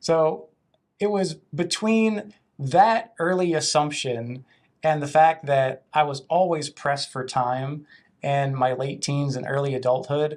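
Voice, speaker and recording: A man with an American accent and a fairly high pitch speaks at a very slow pace with ordinary pitch variation, on a very clean recording with a silent background. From western Virginia, US. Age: 30s. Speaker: toastmasters member, eco-entrepreneur. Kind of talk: interview.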